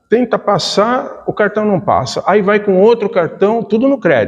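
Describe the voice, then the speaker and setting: The speaker is a man with a high pitch. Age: 60s. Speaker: spiritist lecturer. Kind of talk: lecture. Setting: spiritist center talk.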